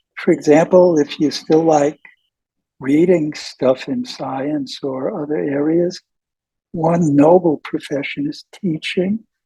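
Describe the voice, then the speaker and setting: At a fairly slow pace with long, frequent pauses, a man speaks at a fairly high pitch in a dark, mellow tone with ordinary pitch variation, in a dry, close sound with no echo. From US Northeast (New York). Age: 80s+. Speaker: professor. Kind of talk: interview.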